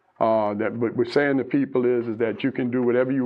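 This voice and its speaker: Fairly quick in pace, a man talks with fairly even intonation. He has a plain, everyday voice. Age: 60s. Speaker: radio advice host. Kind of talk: radio call-in show.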